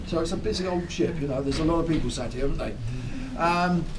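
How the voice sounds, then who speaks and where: There is noticeable background noise as a man with a high pitch talks at a fairly quick pace with ordinary pitch variation. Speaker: ship tour guide. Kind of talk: guided tour talk. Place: boat. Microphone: camera far.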